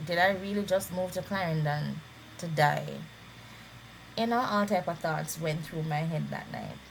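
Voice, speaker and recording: A woman with a fairly low pitch and fairly even intonation speaks with long, frequent pauses in audible room echo. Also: moderate pace. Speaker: vlogger sharing illness journey. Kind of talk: personal testimony.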